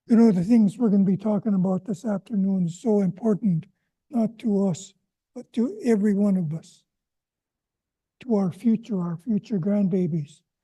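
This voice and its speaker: This man's high voice has a dark, mellow tone, ordinary pitch variation and a moderate pace, recorded dry and close with no echo. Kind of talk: public talk at a town hall. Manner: animated.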